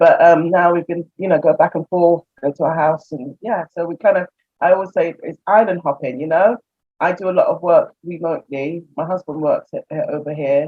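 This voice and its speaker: At a moderate pace, a woman with a British accent speaks in a fairly low pitch with fairly even intonation. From England. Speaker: expat interviewee. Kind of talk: casual interview storytelling.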